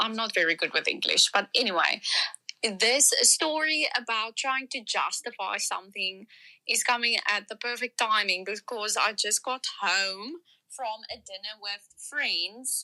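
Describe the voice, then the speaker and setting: Speaking at a fairly slow pace, a woman with a South African accent has a bright, sharp tone and ordinary pitch variation. The sound is dry and close, with no echo. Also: fairly high pitch for a woman. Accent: South African Afrikaans. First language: Afrikaans. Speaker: listener calling in with a voice note. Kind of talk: recorded voice message.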